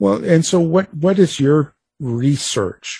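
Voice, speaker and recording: A man speaks with a dark, mellow tone and a somewhat breathy quality. His pitch swings very widely. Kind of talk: casual interview chat. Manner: relaxed, conversational, laughs often, hesitant with fillers.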